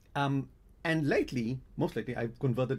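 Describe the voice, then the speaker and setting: The voice has a dark, mellow tone and a non-native accent. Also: man. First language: Hebrew. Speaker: game editor and translator. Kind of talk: live stream talk. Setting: live stream. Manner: halting, with restarts.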